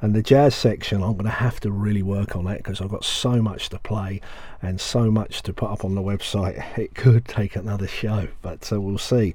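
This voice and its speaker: A man's fairly low voice, dark and mellow in tone, somewhat breathy, at a moderate pace. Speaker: radio presenter of soul music show. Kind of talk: radio dj patter. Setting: radio studio broadcast. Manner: enthusiastic, excitable when praising tracks.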